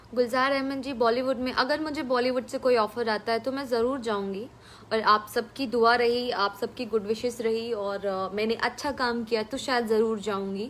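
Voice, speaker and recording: Speaking with hardly any pauses, a woman with a Bihari accent uses a fairly high pitch and fairly even intonation. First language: Bhojpuri (speaking Hindi). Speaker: film actress. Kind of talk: live stream reading viewer comments. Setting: at home, live stream.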